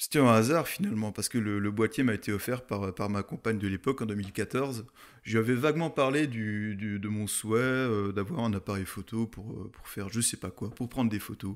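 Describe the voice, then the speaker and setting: Ordinary pitch variation, a fairly quick pace and hardly any pauses. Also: man, fairly low pitch for a man. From France, Alsace (Munster valley). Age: 30s. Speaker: mountain photographer. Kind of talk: podcast interview. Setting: in person recording in Alsace. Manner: hesitant, many fillers.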